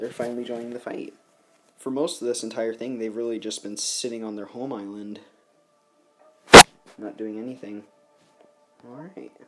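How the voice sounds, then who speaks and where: Music plays in the background while a man speaks quietly at a moderate pace, with long, frequent pauses. His pitch is medium and his intonation monotone and flat. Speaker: gaming commentator. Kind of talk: gameplay commentary. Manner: quiet, subdued.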